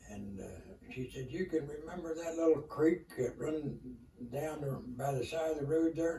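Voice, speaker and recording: At a moderate pace and with ordinary pitch variation, the speaker talks over noticeable background noise. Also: man, fairly high pitch for a man. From Kentucky. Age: 80s+. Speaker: elderly storyteller. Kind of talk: interview storytelling. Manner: halting.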